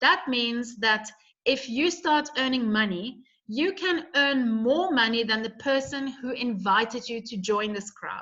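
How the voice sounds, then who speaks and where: With a bright, sharp tone, a woman speaks in a high pitch and lively intonation. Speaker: network marketing presenter. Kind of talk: sales pitch. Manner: animated.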